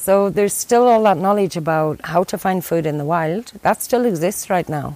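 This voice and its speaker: Here is a woman with an Irish accent and ordinary pitch variation. She talks at a fairly quick pace. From Ireland. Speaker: conservation worker. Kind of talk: interview.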